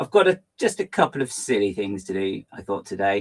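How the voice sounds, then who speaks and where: Very wide pitch swings with an English accent. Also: man. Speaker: LEGO fan livestream host. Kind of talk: casual livestream chat. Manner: fast; animated.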